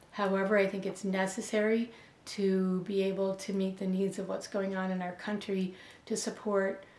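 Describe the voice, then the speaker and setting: With audible room echo, the speaker talks at a moderate pace in an American accent with monotone, flat intonation. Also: woman. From Buffalo, New York. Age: 60s. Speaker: educator. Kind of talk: interview answers. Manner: halting, many fillers.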